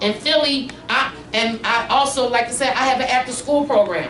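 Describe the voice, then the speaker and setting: A woman with a high voice speaks over noticeable background noise, with audible echo from the room. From Philadelphia. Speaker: congressional candidate and community organizer. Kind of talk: campaign speech. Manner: casual.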